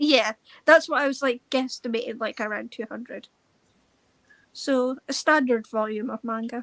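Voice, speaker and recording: A woman with a Scottish accent and high pitch at a moderate pace, with long, frequent pauses. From Scotland. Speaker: book reader joining a live stream. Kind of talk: casual chat.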